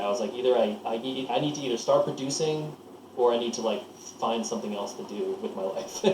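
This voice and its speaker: A man with an American accent speaks fairly quickly at a medium pitch with ordinary pitch variation. The recording carries noticeable background noise and audible room echo. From US Northeast, Lancaster, Pennsylvania. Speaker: record producer. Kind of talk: casual interview. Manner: halting, many false starts.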